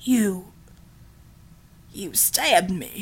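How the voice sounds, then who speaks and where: A female-sounding voice whispers. It is a put-on character voice. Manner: shocked.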